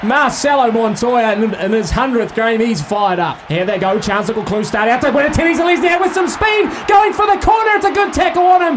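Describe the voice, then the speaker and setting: A man talks fairly quickly, his pitch swinging very widely, amid noticeable background noise. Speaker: rugby league commentator. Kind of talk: live sports commentary. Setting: live at stadium, broadcast on radio. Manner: fast, fluent play-by-play delivery, rising with big runs and breaks.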